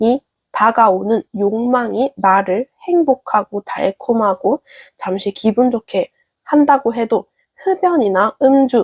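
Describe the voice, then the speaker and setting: A very slow pace in a dry, close sound with no echo. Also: woman. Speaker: tarot reader. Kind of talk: tarot reading to camera.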